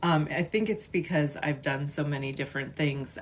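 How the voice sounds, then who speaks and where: Woman with a Chicago accent, a very deep, low pitch and a moderate pace. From US Midwest, western suburbs of Chicago. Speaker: artist and content creator. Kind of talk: casual livestream chat. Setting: livestream. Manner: halting, many fillers.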